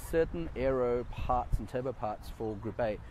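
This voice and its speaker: Noticeable background noise sits behind a man with an Australian accent. His pitch is medium, with ordinary pitch variation. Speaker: car show video presenter. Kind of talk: walk-around video commentary. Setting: outdoors at a car show, filmed on phone. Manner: casual, with many fillers.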